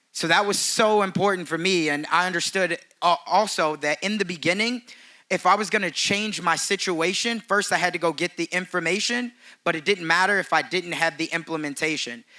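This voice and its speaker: A man speaks at a high pitch in a bright, sharp tone. His pitch varies in an ordinary way. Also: fairly quick pace. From Chicago, south side. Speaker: real estate agent and speaker. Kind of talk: conference speech. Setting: stage with audience.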